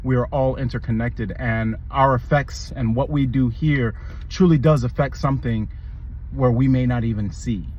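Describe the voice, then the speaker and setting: A man's speech is heard with audible room echo amid noticeable background noise. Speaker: video commentator. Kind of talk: movie review monologue. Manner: fast.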